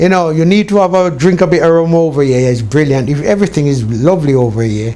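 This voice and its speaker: Very fast and lively, a man's fairly high voice has a dark, mellow tone and very even loudness, with audible room echo. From Jamaica (Clarendon), England from age 13. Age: 70s. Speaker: interviewee. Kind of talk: interview. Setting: on location in Jamaica.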